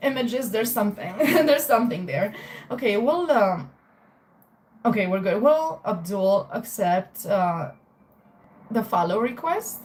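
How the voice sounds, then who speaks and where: A woman with a Romanian accent speaks fairly slowly and fairly high, her pitch swinging very widely between long, frequent pauses. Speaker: tarot reader. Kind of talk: live stream chat with tarot readings. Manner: casual, filler-heavy.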